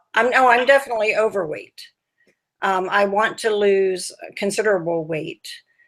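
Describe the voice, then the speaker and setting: Here is a woman with an unremarkable speaking voice. She talks at a moderate pace with fairly even intonation. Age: 60s. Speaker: dieting group member. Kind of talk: interview over video call.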